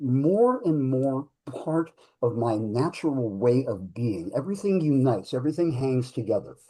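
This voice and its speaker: A man with an ordinary speaking voice speaks at a moderate pace and medium pitch, his intonation lively. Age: 60s. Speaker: pup history researcher, activist, performing artist. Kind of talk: panel discussion.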